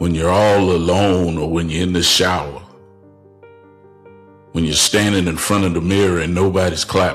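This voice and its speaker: Music plays behind a man speaking at a moderate pace with long, frequent pauses. His very deep, low voice stays monotone and flat. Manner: preaching, rhetorical, paused delivery.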